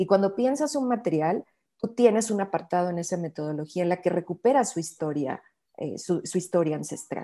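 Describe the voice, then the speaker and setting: A woman of medium pitch with a Mexican accent speaks in a dark, mellow tone with lively intonation. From Mexico, Bajío region. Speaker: bio-artist and researcher. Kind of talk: interview conversation.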